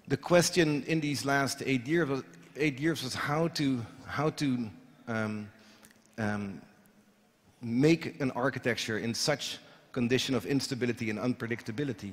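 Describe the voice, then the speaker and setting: A man with a Dutch accent speaks with long, frequent pauses. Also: ordinary pitch variation, moderate pace. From Netherlands. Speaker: architect. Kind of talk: lecture. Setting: stage with audience. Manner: hesitant, many fillers. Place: hall.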